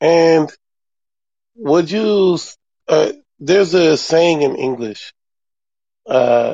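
The speaker is a man whose pitch varies in an ordinary way. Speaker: podcast host. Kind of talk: casual interview.

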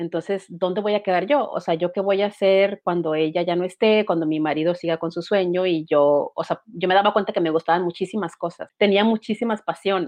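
A woman with a plain, everyday voice talks at a fairly quick pace, medium in pitch with ordinary variation. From Mexico, Baja California (Mexicali). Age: 40s. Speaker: writer and illustrator. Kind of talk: casual interview chat.

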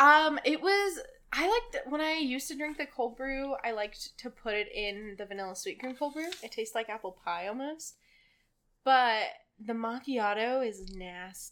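Raising and projecting her voice, a high-pitched woman sounds bright and sharp, moving at a moderate pace with lively intonation. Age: young. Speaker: barista. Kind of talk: casual chat.

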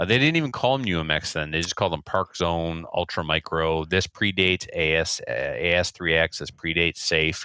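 The tone is bright and sharp, with ordinary pitch variation and a fairly quick pace. There are hardly any pauses, and the recording is very clean with a silent background. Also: man, very deep, low pitch for a man. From New Brunswick, Canada. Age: 40s. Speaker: school teacher and RC hobbyist. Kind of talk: casual interview chat.

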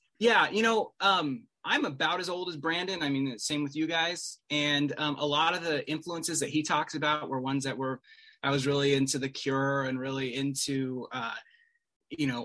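Bright and sharp in tone, a man with an American accent speaks at a fairly high pitch. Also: ordinary pitch variation, moderate pace. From Salt Lake City, Utah. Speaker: Bruce Springsteen fan. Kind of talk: casual chat.

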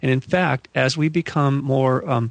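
In an American accent, a man speaks with vocal fry, the sound dry and close with no echo against a quiet background. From US West Coast, Malibu, California. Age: 50s. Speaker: UFO researcher and author. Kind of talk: interview conversation.

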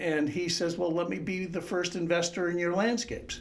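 Over noticeable background noise, a man with a high pitch speaks at a moderate pace. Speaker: painter and art teacher. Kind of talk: interview conversation.

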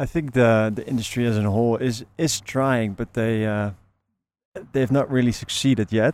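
With a Dutch accent, a man speaks at medium pitch and a moderate pace, his intonation fairly even. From Netherlands. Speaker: flower bulb grower and seller. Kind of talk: interview. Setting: outdoors. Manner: hesitant, many fillers.

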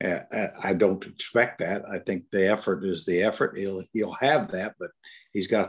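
A man with an American accent and an unremarkable speaking voice talks at a moderate pace and a fairly low pitch, in a very clean recording with a silent background. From Indiana, US Midwest. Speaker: former NBA coach and broadcaster. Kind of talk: casual podcast chat, sports analysis. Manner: joking, self-deprecating.

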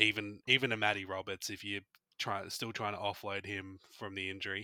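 A man with an Australian accent speaks in a fairly low pitch, his tone bright and sharp and his intonation monotone and flat. The sound is dry and close with no echo, on a very clean recording with a silent background. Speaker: fantasy football podcast co-host. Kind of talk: casual chat.

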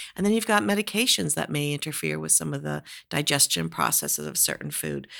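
A woman at a moderate pace, on a very clean recording with a silent background. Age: 50s. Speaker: retired professor of audiology and neuroscience. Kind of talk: interview.

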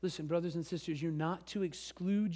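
A man's fairly high, dark and mellow voice with an American accent and fairly even intonation. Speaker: pastor. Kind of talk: sermon. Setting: church.

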